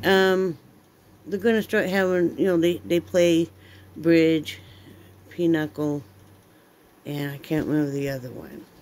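The speech moves at a fairly slow pace with long, frequent pauses, big swings in loudness and ordinary pitch variation. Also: woman, fairly low pitch for a woman. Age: 50s. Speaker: vlogger. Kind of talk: casual chat. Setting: home. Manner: animated. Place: home room. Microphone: phone near.

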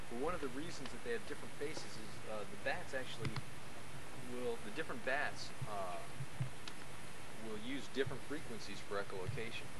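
A man at a fairly quick pace with ordinary pitch variation, a dry sound with no echo, and loud background noise. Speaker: nature guide. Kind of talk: outdoor lecture to a tour group. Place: open country. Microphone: old recording.

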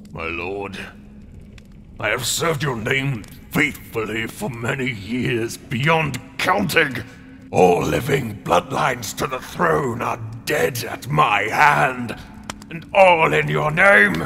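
A man with a medium pitch speaks at a very slow pace. Clear music plays in the background. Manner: demanding, fanatical, grasping.

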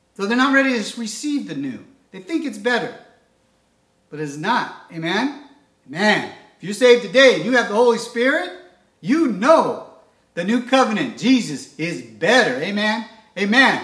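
Speaking at a moderate pace with long, frequent pauses, a man with an extremely high pitch uses an animated tone, lively intonation and big swings in loudness, with audible room echo over a quiet background. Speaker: preacher. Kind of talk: sermon. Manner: fervent, animated, preaching with call-and-response 'Amen?'; earnest, devotional, uses prayer cadence. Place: home room. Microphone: camera far.

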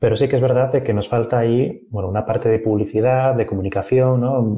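A man talks fairly quickly in a somewhat breathy voice with a dark, mellow tone. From Asturias, Spain. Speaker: software developer. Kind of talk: interview.

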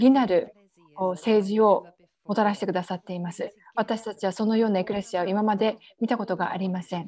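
Somewhat breathy and dark, mellow in tone, a woman speaks at medium pitch and a fairly quick pace with fairly even intonation. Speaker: prayer leader. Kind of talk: fervent intercessory prayer. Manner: earnest, impassioned, declaring with conviction.

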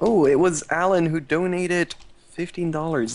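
The voice belongs to a man. It sits high in pitch. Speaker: charity stream host. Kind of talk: casual live-stream chat. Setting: live stream. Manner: playful. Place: home room.

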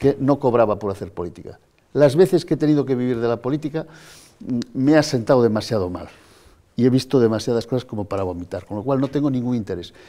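Over a quiet background, a man with a dark, mellow tone speaks at medium pitch with lively intonation. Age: 50s. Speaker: politician and pediatrician; politician. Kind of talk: TV interview. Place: studio.

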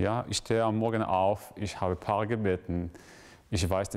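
An Israeli accent, fairly even intonation and a moderate pace. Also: man. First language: Hebrew (speaking German). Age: 20s. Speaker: graduate student; interviewee. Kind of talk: interview; interview answer. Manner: halting, with frequent fillers. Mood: thoughtful, calm. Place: church.

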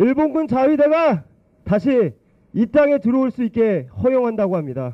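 A man with a high-pitched voice talks fairly slowly. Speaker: youth political activist. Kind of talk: protest speech. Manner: impassioned.

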